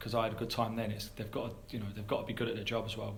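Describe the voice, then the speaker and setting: A man with an English accent at medium pitch, very fast, amid noticeable background noise and audible room echo. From England. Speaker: football head coach. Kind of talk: press conference Q&A. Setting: press conference. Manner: halting with many repetitions.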